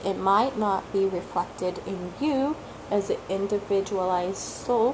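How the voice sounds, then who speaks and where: A woman's fairly slow speech comes through noticeable background noise. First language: not English (English is third language). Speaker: tarot reader, video blogger. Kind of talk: casual talk-to-camera monologue.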